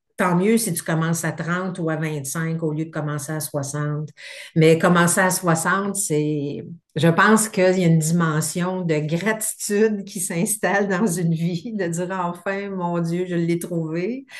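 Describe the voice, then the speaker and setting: A woman's fairly low voice, fairly slow in pace, with fairly even intonation. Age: 60s. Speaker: therapy client. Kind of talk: testimony. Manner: halting.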